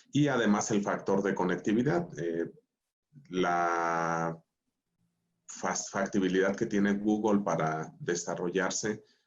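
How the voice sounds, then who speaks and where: A man speaks at a very slow pace with a very deep, low pitch. His pitch varies in an ordinary way. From Mexico, Michoacán. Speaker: school director. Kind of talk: panel discussion.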